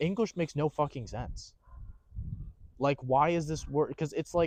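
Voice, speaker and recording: A man with an American accent, a plain, everyday voice, fairly high pitch, ordinary pitch variation and a moderate pace, in a dry, close sound with no echo. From USA. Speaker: film crew worker. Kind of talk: casual chat. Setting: outdoors in a tent.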